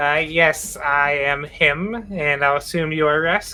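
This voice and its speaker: A nasal, put-on character voice at a middle pitch and a fairly slow pace. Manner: comical, exaggerated.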